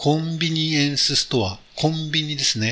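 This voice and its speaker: Over noticeable background noise, a man speaks at a fairly slow pace in a fairly high pitch. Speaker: radio host. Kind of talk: casual chat. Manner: halting.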